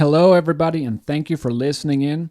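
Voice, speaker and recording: The recording is very clean, with a silent background. A man talks at a very fast pace with fairly even intonation. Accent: German. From Germany. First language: German. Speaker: podcast co-host, life coach. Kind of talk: casual podcast chat. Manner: halting, many repeats.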